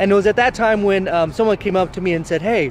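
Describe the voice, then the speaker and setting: Music plays in the background as a man speaks with ordinary pitch variation in a dry sound with no echo. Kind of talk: casual vlog chat. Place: street. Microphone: phone near.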